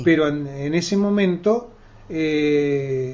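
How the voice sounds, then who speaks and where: This man's voice sits fairly high, with ordinary pitch variation. Noticeable background noise runs under the recording. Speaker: journalist, radio interviewer. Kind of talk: radio interview questions.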